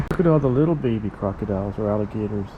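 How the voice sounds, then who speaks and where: Audible room echo carries a man's voice as it moves through very wide pitch swings. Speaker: travel vlogger. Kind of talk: casual vlog narration.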